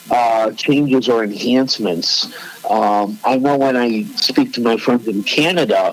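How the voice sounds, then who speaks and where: Over noticeable background noise, a man with a Chicago accent speaks fairly slowly at a medium pitch, with ordinary pitch variation and very even loudness. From Chicago, US Midwest. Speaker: podcast co-host. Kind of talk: casual chat.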